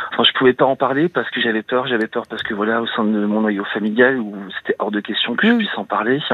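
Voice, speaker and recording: A man's medium-pitched voice at a very fast pace, with fairly even intonation and noticeable background noise. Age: 40s. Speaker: caller to a radio advice show. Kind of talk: personal confession on call-in radio. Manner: halting, many hesitations.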